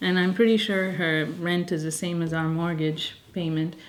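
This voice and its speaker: Speaking softly at a fairly slow pace, a woman uses fairly even intonation and a fairly low pitch. Noticeable background noise and audible room echo fill the recording. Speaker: lifestyle vlogger. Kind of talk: casual vlog talk to camera. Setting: at home. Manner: soft-spoken.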